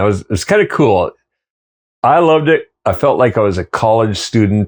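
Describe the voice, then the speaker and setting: With a Canadian accent, a man speaks at a medium pitch and moderate pace with ordinary pitch variation, in a dry, close sound with no echo and a quiet background. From western Canada (Kamloops, British Columbia), early childhood in Switzerland. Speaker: tour guide and cook, former carpenter. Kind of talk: casual interview storytelling. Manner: animated, halting with many fillers and restarts.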